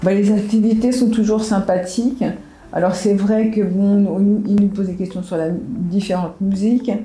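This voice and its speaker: Recorded with audible room echo, a woman speaks fairly slowly at a medium pitch with fairly even intonation. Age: 70s. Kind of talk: interview testimony. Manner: halting, many hesitations and restarts.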